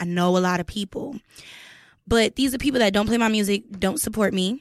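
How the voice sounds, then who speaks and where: A woman's unremarkable speaking voice at a medium pitch and moderate pace, in a very clean recording with a silent background and a dry, close sound with no echo. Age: young. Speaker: podcast co-host and musician. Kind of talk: casual interview. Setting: studio.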